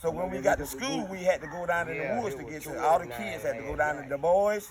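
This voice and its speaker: A high-pitched man with an American accent, talking very fast with lively intonation and big swings in loudness, over noticeable background noise. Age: 70s. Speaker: family elder. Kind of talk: casual chat.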